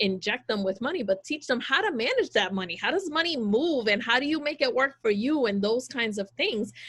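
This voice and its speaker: At a moderate pace, a woman with an ordinary speaking voice talks, her pitch varying in an ordinary way. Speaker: small business owner. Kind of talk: panel discussion.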